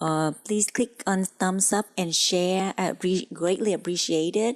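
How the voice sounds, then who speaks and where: Very slow, fairly low-pitched female speech with fairly even intonation, on a very clean recording with a silent background. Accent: non-native. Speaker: cooking channel host. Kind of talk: tutorial. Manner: halting, many fillers.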